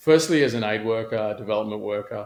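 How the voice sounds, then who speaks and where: Heard in a very clean recording with a silent background, a man with an Australian accent speaks at a fairly low pitch. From Australia, Sydney. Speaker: former aid worker and social entrepreneur. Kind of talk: podcast interview.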